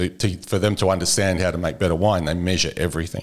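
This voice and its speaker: In a very clean recording with a silent background, a man speaks in a monotone, flat way at a very deep, low pitch. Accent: Australian. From Australia. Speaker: agricultural product specialist. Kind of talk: casual interview.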